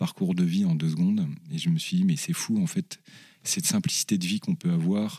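A man's fairly low, dark, mellow voice with very wide pitch swings, dry and close with no echo. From Paris region, France. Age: 40s. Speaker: charity director. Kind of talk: interview testimony.

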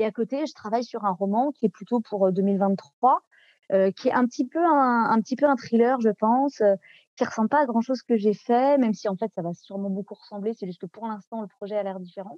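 A woman speaks at a fairly quick pace in a fairly high voice with ordinary pitch variation, the sound dry and close with no echo. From France, Nantes. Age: 30s. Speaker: novelist and translator. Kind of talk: interview. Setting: podcast interview. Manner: halting, many hesitations.

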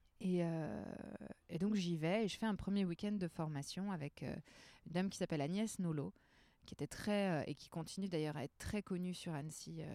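A woman's fairly low, dark and mellow voice at a moderate pace, with ordinary pitch variation, in a dry, close sound with no echo on a very clean recording with a silent background. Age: 30s. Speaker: trainer and therapist. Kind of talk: casual chat. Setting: outdoors in a bar garden.

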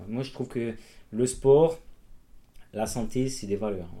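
A man's voice has a dark, mellow tone. His pitch shows ordinary variation. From Corsica. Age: 30s. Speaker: amateur trail runner and cyclist, electrician. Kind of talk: interview, casual chat. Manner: hesitant, many fillers.

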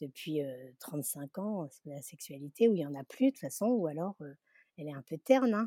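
A woman with a fairly low, dark, mellow voice speaks at a moderate pace, her pitch swinging very widely and her loudness rising and falling sharply, in a dry, close sound with no echo. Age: 60s. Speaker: Instagram content creator. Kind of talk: interview.

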